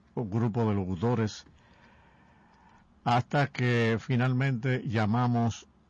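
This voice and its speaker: A man talks at a very slow pace with long, frequent pauses. His intonation stays fairly even. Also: dry sound with no echo. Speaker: radio broadcaster. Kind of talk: radio show recollection of broadcasters' association history. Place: studio. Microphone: studio mic.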